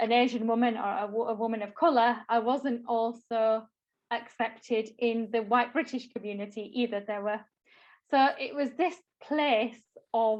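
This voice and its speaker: In a Yorkshire accent, a woman talks fairly slowly with a fairly high pitch and fairly even intonation. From northern England, Bradford, Yorkshire. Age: 20s. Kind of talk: talk at online workshop. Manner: hesitant, many fillers.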